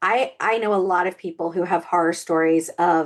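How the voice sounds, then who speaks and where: Against a quiet background, a woman speaks in a Southern US accent at a fairly slow pace. Her tone is animated, with ordinary pitch variation. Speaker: author and podcast co-host. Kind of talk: casual podcast chat. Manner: animated, frequent fillers and repetitions.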